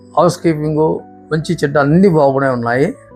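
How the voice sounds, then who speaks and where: A man speaks with an Andhra accent and ordinary pitch variation. Music plays in the background. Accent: Andhra Telugu. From Andhra Pradesh, India. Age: 60s. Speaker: knee surgery patient. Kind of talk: patient testimonial.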